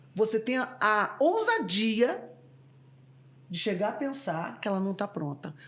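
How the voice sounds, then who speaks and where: Amid noticeable background noise, a woman with a fairly high pitch speaks at a fairly slow pace, her pitch swinging very widely between long, frequent pauses. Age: 60s. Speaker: former corporate executive and board member. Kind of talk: podcast interview.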